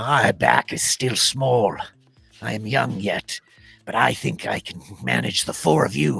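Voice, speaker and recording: Putting on a growling character voice at a fairly low pitch, a man swings his pitch very widely at a fairly slow pace, with music in the background. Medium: actual play. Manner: formal, earnest.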